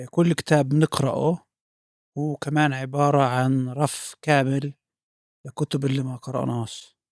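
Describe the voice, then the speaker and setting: A man talks at a fairly slow pace in a fairly high pitch. His intonation is monotone and flat, with a dry, close sound and no echo. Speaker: podcast host. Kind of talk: interview question.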